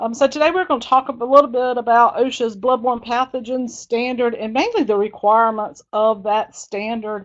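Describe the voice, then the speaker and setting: Against a quiet background, a woman speaks at a moderate pace with a slight Southern US accent. Her fairly high voice has lively intonation. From South Carolina, US South. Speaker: dental hygienist and infection control speaker. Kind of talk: webinar presentation. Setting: webinar. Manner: casual, with many fillers.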